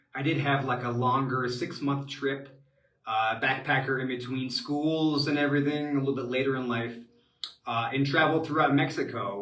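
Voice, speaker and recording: Here a man with an American accent has a fairly high pitch and a moderate pace. Audible room echo is present. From US Midwest, Cincinnati, Ohio. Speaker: expat advisor, webinar host. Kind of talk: live webinar Q&A. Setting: live online webinar from home. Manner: many filler words, halting.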